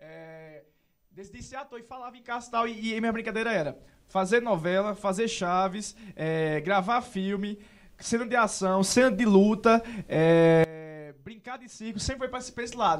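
The speaker has a Paraíba accent, and the loudness swings a lot. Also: man, high pitch for a man, ordinary pitch variation, moderate pace. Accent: Paraíba northeastern Brazilian. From Serra Branca, Paraíba, Brazil. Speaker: actor and social media content creator. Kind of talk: casual interview chat.

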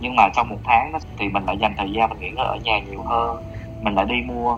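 Over noticeable background noise, a man talks at a very fast pace with a fairly low pitch. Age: 30s. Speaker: office worker, podcast guest. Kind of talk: casual chat.

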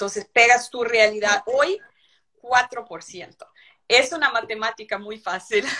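A woman with a Brazilian accent speaks at a very slow pace, her fairly high voice bright and sharp in tone. Her pitch varies in an ordinary way while her loudness swings widely. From Brazil, São Paulo. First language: Portuguese (speaking Spanish). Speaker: livestock feeding equipment company representative. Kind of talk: live webinar interview. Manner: halting, repeats words.

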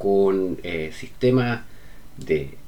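A man is speaking. He has a Chilean accent. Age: 40s. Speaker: podcaster. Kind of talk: monologue. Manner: halting.

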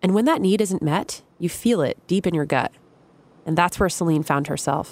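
A woman speaks in an ordinary speaking voice at a moderate pace, with a fairly low pitch and ordinary pitch variation. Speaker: podcast narrator. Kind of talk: scripted narration. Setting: studio.

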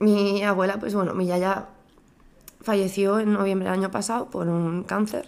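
This woman has an unremarkable speaking voice at medium pitch. She talks at a moderate pace with fairly even intonation. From Spain. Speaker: bereaved daughter sharing her story. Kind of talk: personal testimony in casual chat.

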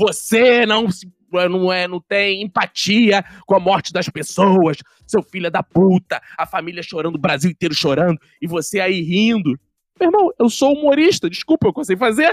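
Speaking with a Rio de Janeiro accent, a man uses lively intonation and a high pitch at a moderate pace. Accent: Carioca Brazilian Portuguese. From Rio de Janeiro, Brazil. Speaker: comedy writer. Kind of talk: casual chat.

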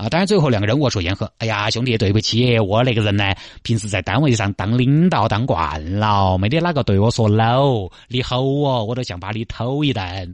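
Against a quiet background, a man with a Sichuan accent talks at a fairly quick pace in an animated tone, his medium pitch showing ordinary variation. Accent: Sichuanese dialect. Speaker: radio traffic show host. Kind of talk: radio talk show commentary.

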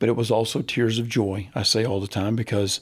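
A man with an American accent speaks in a somewhat breathy voice with fairly even intonation. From US South, Central Florida. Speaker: baseball coach. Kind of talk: interview.

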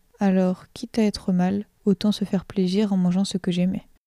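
The voice is somewhat breathy with a dark, mellow tone, moving at a moderate pace in a flat monotone. The sound is dry and close with no echo, and the recording is very clean over a silent background. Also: woman. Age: 20s. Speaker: nursing student. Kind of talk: testimony. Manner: reading aloud a written text.

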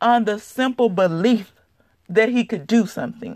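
At a moderate pace and fairly high pitch, a woman with an unremarkable speaking voice shows ordinary pitch variation in a very clean recording with a silent background. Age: 30s. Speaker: podcast host. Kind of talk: solo motivational talk.

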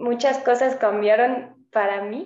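A woman with a slight French accent talks at a fairly slow pace and a fairly high pitch. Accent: faint French accent in Spanish. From France, Mâcon area north of Lyon. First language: French (speaking Spanish). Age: 20s. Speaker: French teacher. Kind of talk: casual interview.

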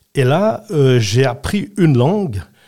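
In a very clean recording over a silent background, a man speaks. His voice is somewhat breathy and his intonation lively. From Switzerland, Valais (Saxon). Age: 80s+. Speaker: retired politician. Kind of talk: interview.

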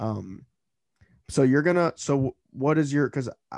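A man talks with ordinary pitch variation. The sound is dry and close, with no echo. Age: 20s. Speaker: podcast host. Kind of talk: casual chat. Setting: small home apartment setup. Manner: halting, many filler words.

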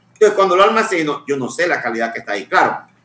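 A man talks at a fairly high pitch for a man. Noticeable background noise runs behind him. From Santiago, Dominican Republic. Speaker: water sector expert. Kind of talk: radio interview.

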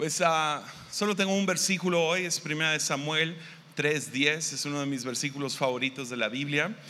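Here a man speaks at a moderate speed, his voice fairly high with ordinary pitch movement. His tone is bright and sharp, and the room adds audible echo. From Mexico, Tepic, Nayarit. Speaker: pastor. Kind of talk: sermon. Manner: halting.

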